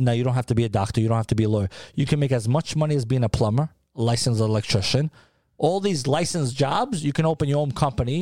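A man with a New York accent talks very fast in a dark, mellow tone, with very even loudness and ordinary pitch variation, in a dry, close sound with no echo on a very clean recording with a silent background. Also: medium pitch for a man. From New York City (Harlem). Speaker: food brand founder. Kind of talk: casual interview.

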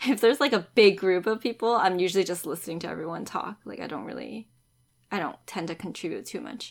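A very fast woman's voice of medium pitch, with vocal fry, lively intonation and big swings in loudness, on a very clean recording with a silent background. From Canada, Richmond BC then Montreal. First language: Cantonese. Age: 30s. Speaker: podcast co-host. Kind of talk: casual chat.

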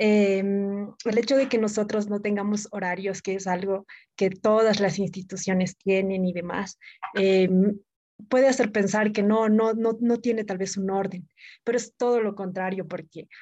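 A woman's medium-pitched voice, dark and mellow, with fairly even intonation at a fairly slow pace. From Bolivia, Oruro. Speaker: podcast co-host. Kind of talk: casual chat.

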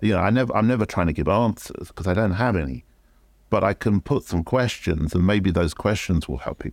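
Spoken in a London accent at a fairly quick pace with lively intonation, this very clean recording has a silent background and a dry, close sound with no echo. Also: man, fairly low pitch for a man. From London, England. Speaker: photography educator and former magazine art director. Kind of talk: interview.

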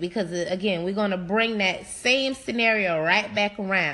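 Bright, sharp tone from a woman at medium pitch, ordinary pitch variation, a moderate pace and an animated tone. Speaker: podcast host. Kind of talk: casual chat.

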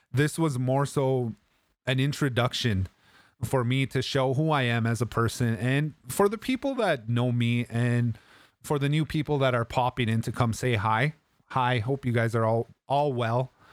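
A man with a medium pitch speaks at a moderate pace in an unremarkable speaking voice, keeping his loudness very even. The recording is very clean with a silent background, and the sound is dry and close with no echo. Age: 30s. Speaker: video game streamer and podcaster. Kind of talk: casual livestream podcast talk. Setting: live stream with chat. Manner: casual, friendly, upbeat.

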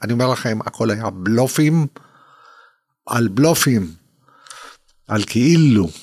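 The speaker talks very slowly, leaving long, frequent pauses. The intonation is lively, in a very clean recording with a silent background. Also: man, medium pitch for a man. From Israel. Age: 70s. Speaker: retired rehabilitation physician. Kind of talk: interview testimony.

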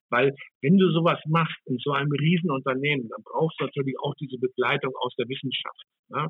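Using a normal speaking voice, a man with fairly high pitch speaks at a fairly quick pace with fairly even intonation. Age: 60s. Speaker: hospitality executive. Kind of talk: interview.

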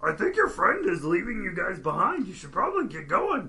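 In a put-on character voice, the speaker talks at a fairly quick pace with a high pitch. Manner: dragon voice.

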